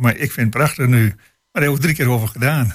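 Somewhat breathy, a man speaks at a medium pitch and a fairly quick pace with ordinary pitch variation. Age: 80s+. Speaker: retired local politician. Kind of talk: radio panel discussion. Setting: studio. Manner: halting.

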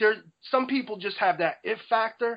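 The speaker talks at a moderate pace with a New Jersey accent. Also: man. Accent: New Jersey American English. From New Jersey, US. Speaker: rapper. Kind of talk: interview.

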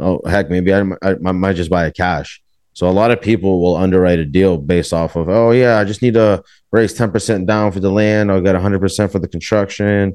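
Someone speaks with an American accent at a fairly quick pace. The background is quiet. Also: man. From Everett, Massachusetts (Boston area). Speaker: real estate developer. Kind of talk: casual interview.

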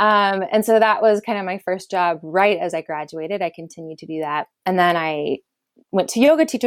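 The voice, with a Californian accent, has lively intonation and big swings in loudness, recorded with a dry, close sound and no echo. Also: woman. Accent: Californian American English. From Southern California. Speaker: peace builder and activist. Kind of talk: interview. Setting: remote call from home.

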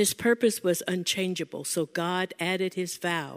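A woman with an ordinary speaking voice, medium pitch, ordinary pitch variation and a fairly slow pace, in a very clean recording with a silent background and a dry, close sound with no echo. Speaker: church member. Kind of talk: scripture reading and prayer.

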